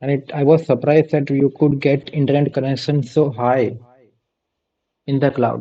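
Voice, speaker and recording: Speech at a moderate pace comes in a flat monotone, broken by long, frequent pauses. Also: man, fairly high pitch for a man. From India. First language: Gujarati. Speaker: vtuber streamer. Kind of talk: casual chat.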